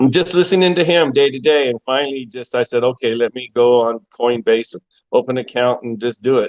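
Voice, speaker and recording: With a dry, close sound and no echo, a man talks at a fairly quick pace in a medium pitch with ordinary pitch variation. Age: 60s. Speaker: retired crypto enthusiast. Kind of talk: casual live chat. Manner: halting.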